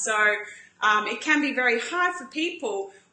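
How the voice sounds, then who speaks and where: A woman's high-pitched voice carries lively intonation, with audible room echo and noticeable background noise. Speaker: paleo cooking show host. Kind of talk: live-stream cooking demo. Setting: Facebook live stream. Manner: chatty, animated.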